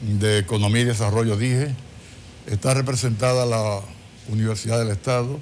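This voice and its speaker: A man at medium pitch talks at a moderate pace with long, frequent pauses, his intonation fairly even and his loudness very even. Noticeable background noise is present. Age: 70s. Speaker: government official and physician. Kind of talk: TV interview.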